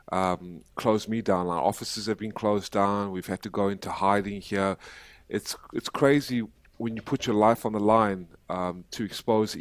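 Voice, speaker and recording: A man with an American accent and an unremarkable speaking voice, fairly low in pitch, fairly even in intonation, at a moderate pace, in a very clean recording with a silent background. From South Africa. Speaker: human rights activist. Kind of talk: podcast interview.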